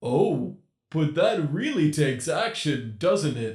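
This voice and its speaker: Using a put-on character voice, a man speaks at a fairly high pitch. His pace is fairly slow, and there is a slight echo. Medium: read story. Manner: taunting, sing-song, mocking.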